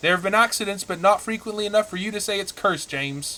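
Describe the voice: A man's cartoonish character voice, high-pitched and delivered at a very fast pace.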